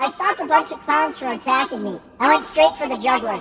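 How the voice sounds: A female-sounding, put-on character voice comes out squeaky and high-pitched, raised and projected at a fairly quick pace.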